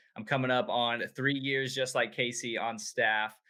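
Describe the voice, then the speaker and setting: Speaking at a moderate pace, a man has a medium pitch. His is a plain, everyday voice. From Tulsa, Oklahoma. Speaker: youth pastor. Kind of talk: casual interview chat.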